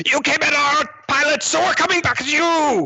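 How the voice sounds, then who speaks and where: Put-on character voice from a man, extremely high-pitched, at a moderate pace. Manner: menacing.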